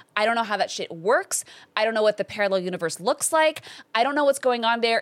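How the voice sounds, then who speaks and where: With a Californian accent, a woman talks at a very fast pace and a fairly high pitch. Her intonation is lively, and the sound is dry and close with no echo. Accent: Californian American. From Los Angeles. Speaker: actor and comedian. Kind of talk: casual chat. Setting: studio.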